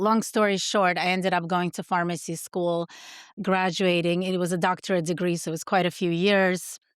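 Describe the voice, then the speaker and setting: A woman with a Russian accent talks at a fairly quick pace in a dry, close sound with no echo, on a very clean recording with a silent background. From Soviet Union, moved to US at ten. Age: 40s. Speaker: pharmacist and supplement founder. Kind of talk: podcast interview.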